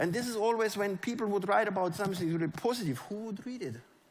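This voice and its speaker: This speaker has a German accent and an animated tone with lively intonation. Room echo is audible. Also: man. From Germany. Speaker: network marketing leader. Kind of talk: motivational stage talk. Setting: stage with audience.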